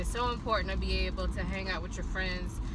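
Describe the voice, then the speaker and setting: A woman's voice comes through dry, with no echo, over loud background noise. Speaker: vlogger. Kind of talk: casual vlog chat. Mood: happy, relaxed. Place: car. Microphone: phone near.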